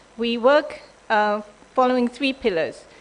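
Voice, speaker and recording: A woman speaks at a fairly high pitch with noticeable background noise behind her. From Japan. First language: Japanese. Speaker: development bank official. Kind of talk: conference presentation. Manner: hesitant, many ums.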